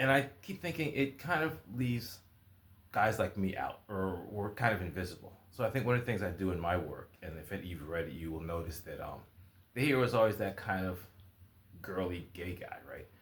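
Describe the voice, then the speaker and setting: Somewhat breathy, a man speaks with lively intonation and big swings in loudness. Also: fairly low pitch for a man, moderate pace. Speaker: writer and video blogger. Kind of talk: casual vlog monologue.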